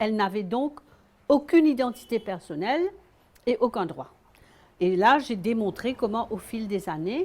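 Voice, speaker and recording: Speaking at a fairly slow pace with long, frequent pauses, a woman with a fairly high pitch makes very wide pitch swings. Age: 70s. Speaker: author. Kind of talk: interview.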